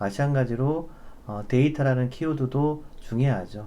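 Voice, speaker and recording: His tone comes across dark and mellow. This man's voice sits at a medium pitch. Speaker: data architect presenting a webinar. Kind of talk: webinar presentation with demo. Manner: many filler hesitations.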